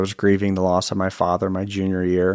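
Flat and monotone, a man with an American accent speaks at a fairly low pitch. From Virginia, US. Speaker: author and speaker. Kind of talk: interview.

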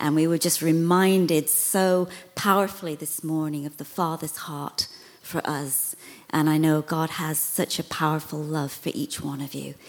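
With a British accent, a woman speaks in a very deep, low voice and a monotone, flat intonation. Background noise is noticeable. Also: moderate pace. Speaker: visiting minister. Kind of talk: sermon.

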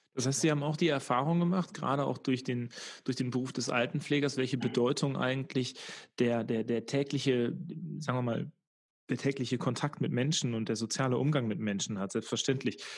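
On a very clean recording with a silent background, a man with a normal speaking voice speaks at a fairly quick pace and medium pitch with ordinary pitch variation. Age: 30s. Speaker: podcast host and local politician. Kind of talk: interview; scripted narration.

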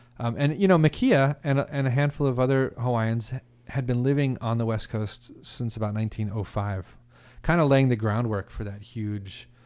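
Speaking with an American accent at a moderate pace, a man uses an unremarkable speaking voice of medium pitch with ordinary pitch variation, on a very clean recording with a silent background. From Oklahoma. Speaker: instrument designer and music historian. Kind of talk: casual interview.

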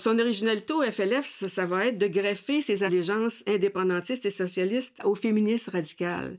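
Fairly quick speech from a woman with a Quebec accent, medium pitch, ordinary pitch variation and hardly any pauses. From Quebec, near Sorel. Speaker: former activist and author. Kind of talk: interview testimony.

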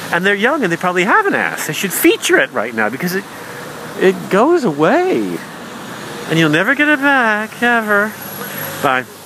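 Over noticeable background noise, a man with a high voice speaks in a raised, projected way at a moderate pace, his pitch swinging very widely between long, frequent pauses. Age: 40s. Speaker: comedian. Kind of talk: stand-up.

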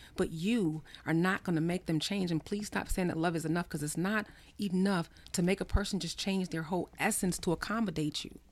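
A woman with an American accent and a normal speaking voice, fairly low in pitch and fairly quick in pace. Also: fairly even intonation. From US Northeast (New Jersey, then Maryland). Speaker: psychotherapist and author. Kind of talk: casual chat; reading aloud.

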